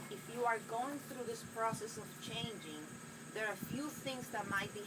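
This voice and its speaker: A woman with a Spanish accent, fairly slow and fairly high-pitched, with ordinary pitch variation, noticeable background noise and audible room echo. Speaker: spiritual healer. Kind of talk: inspirational monologue to camera. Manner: hesitant, with many fillers.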